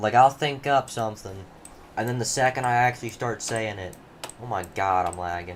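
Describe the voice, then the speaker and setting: Amid noticeable background noise, a man speaks in a medium pitch at a moderate pace with ordinary pitch variation. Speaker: gaming streamer. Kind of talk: live gameplay commentary. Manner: halting. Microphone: changed mic settings, may be quiet.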